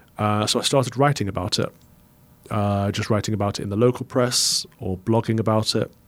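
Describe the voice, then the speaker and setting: A man with an East Midlands accent, fairly low in pitch, with fairly even intonation and a fairly quick pace. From England, Mansfield, Nottinghamshire. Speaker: Anglican priest. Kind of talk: interview conversation.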